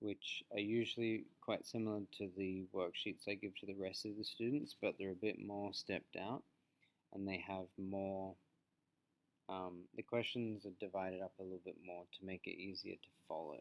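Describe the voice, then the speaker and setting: A calm man at a fairly low pitch, with a slight Australian accent, moderate pace and fairly even intonation. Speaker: teacher. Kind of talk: reflective presentation; lecture. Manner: clear.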